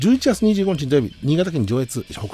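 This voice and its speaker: Lively intonation from a man over noticeable background noise. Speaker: radio host and band musician. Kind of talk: solo radio talk. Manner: fast; polite, many fillers.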